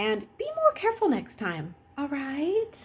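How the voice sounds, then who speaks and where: Putting on a character voice, a woman speaks high and fairly slowly with very wide pitch swings. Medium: read story. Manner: fussy, motherly.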